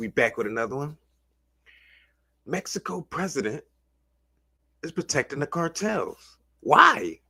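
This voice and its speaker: Speaking fairly slowly, a man uses a fairly high pitch with vocal fry and very wide pitch swings. His loudness swings widely, with long, frequent pauses. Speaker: livestream reaction commentator. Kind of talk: casual livestream commentary. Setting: livestream. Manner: animated, casual slang; stumbles over words.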